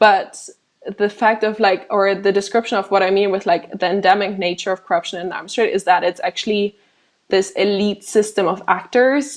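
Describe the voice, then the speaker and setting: Fairly even intonation marks this woman's speech, delivered with a non-native accent. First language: not English. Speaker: arms trade corruption researcher, co-founder of a watchdog group. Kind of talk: Q&A after a presentation.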